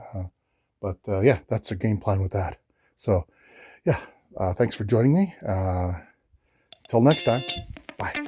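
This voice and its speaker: Music plays in the background of this dry, close recording with no echo, where the speech moves at a fairly slow pace with long, frequent pauses and lively intonation. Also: man, fairly low pitch for a man. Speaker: DIY woodworking vlogger. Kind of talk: casual tutorial. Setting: at home. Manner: hesitant, many fillers.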